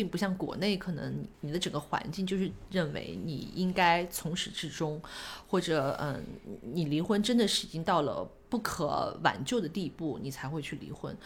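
The voice carries vocal fry and ordinary pitch variation. It moves at a moderate pace. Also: woman, fairly low pitch for a woman. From Shanghai, China. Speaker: guest sharing life story. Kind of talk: casual chat. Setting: at a home.

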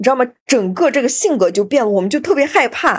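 The recording is very clean, with a silent background. A woman speaks at a fairly quick pace in a high pitch. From Xinjiang, China. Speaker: podcast host. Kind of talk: casual interview chat.

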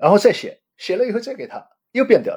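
The speaker is a man with a dark, mellow tone. He talks at a moderate pace. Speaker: retired bank executive and researcher. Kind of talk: interview.

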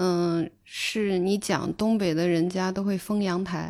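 Recorded very cleanly against a silent background, a woman with a dark, mellow tone speaks at a medium pitch with fairly even intonation. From Northwest China. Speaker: podcast host. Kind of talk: interview.

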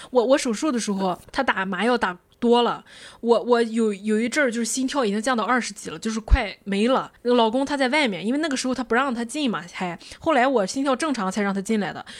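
A woman speaks in an unremarkable speaking voice at fairly high pitch. Her pace is fairly quick, with ordinary pitch variation. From Qingdao, China. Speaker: podcast host. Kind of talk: casual chat.

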